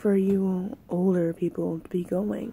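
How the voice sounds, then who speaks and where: Over light background noise, a woman speaks in a weary tone, her voice somewhat breathy. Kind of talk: casual vlog chat. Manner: low, weary talk while lying in bed. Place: home room. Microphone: phone near.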